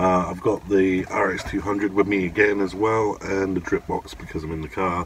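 There is light background noise and a dry sound with no echo. A man speaks with a fairly low pitch. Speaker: vape vlogger. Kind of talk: casual vlog chat. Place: car. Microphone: phone near.

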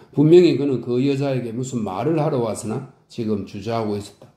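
A man talks in a plain, everyday voice at a medium pitch. His pace is moderate, and his pitch varies an ordinary amount. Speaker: audiobook narrator. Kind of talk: audiobook reading of a classic novel. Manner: calm, soothing.

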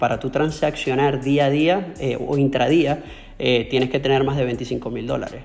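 Ordinary pitch variation colors a man's speech, delivered at a moderate pace. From Venezuela. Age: 30s. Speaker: trader; interviewee. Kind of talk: interview. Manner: halting, with many repetitions. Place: home room. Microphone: earbuds.

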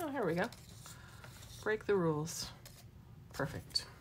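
A woman with an American accent speaks at a moderate pace in an animated tone and lively intonation. Noticeable background noise runs underneath. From Michigan, US. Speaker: mixed-media art instructor. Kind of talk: live craft demo tutorial. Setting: live social media broadcast. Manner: chatty, animated. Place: workshop. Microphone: phone near.

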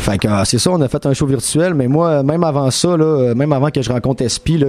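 A man at a moderate pace, fairly high in pitch, with ordinary pitch variation. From Quebec, Saguenay; Quebec. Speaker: rapper; interview guest. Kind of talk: radio interview. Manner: casual, many fillers. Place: studio. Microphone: studio mic.

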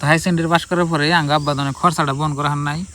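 Speaking in an ordinary speaking voice, a man talks at a fairly high pitch with fairly even intonation. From Assam, India (Bongaigaon district). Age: 20s. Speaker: vlogger. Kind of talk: casual life-story vlog. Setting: outdoors by a river.

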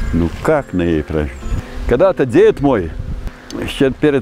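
A man with a medium pitch speaks at a moderate pace. The sound is dry with no echo, and faint music plays in the background. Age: 70s. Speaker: retired teacher and fishing pond owner; retired teacher. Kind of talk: interview. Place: open country.

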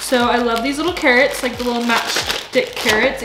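At a moderate pace, a woman speaks with a fairly high pitch, a bright, sharp tone and ordinary pitch variation over faint background noise.

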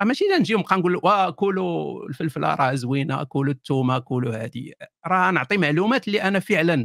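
A man at a fairly quick pace, hardly any pauses, lively intonation, and a dry, close sound with no echo. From Morocco, Kenitra. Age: 40s. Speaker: atheist YouTuber. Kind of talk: interview.

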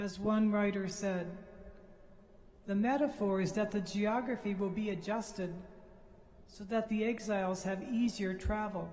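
The delivery is fairly slow, with fairly even intonation and a slightly mellow tone. Room echo is audible. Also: man.

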